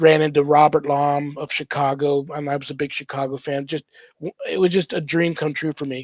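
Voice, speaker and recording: A man's animated tone at a fairly high pitch and a moderate pace. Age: 60s. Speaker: paranormal ministry host, priest. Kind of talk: casual chat, storytelling.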